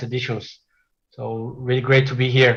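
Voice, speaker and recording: A man with a Portuguese accent speaks at a moderate pace in a fairly high, somewhat breathy voice. His intonation stays fairly even. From Brazil. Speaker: software developer. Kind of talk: technical presentation.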